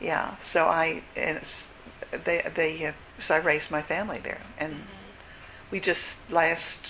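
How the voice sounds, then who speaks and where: A woman speaks in a fairly low pitch with monotone, flat intonation. Noticeable background noise sits behind her. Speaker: retired teacher and church historian. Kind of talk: interview answer.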